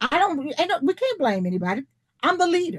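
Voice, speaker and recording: A woman talks with very wide swings in pitch. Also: dry, close sound with no echo. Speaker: leadership teacher. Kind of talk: online presentation.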